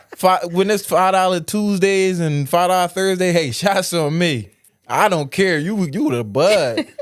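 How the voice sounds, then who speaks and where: With music in the background, a man with a high voice talks at a fairly slow pace using lively intonation. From Southwest Philadelphia. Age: 20s. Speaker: social media personality. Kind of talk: casual interview chat.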